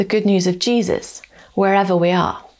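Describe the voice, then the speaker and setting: A woman speaks at a moderate pace. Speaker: preacher. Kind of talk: sermon. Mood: warm, encouraging. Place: home room.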